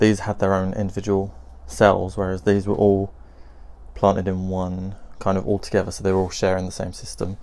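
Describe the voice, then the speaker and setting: A man's fairly low voice with a British accent, fairly quick pace and monotone, flat intonation. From UK. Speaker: gardening vlogger. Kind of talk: casual video update. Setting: greenhouse, filming with camera. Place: garden. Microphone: phone near.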